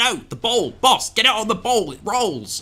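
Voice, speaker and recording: Shouting in a strained, put-on character voice, a man pitched high delivers lively intonation at a moderate pace. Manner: yelling; strained, angry.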